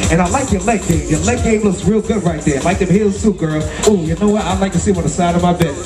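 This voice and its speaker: Over clear background music, a man talks at a very fast pace with ordinary pitch variation. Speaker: event host emcee. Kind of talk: stage announcing. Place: stage.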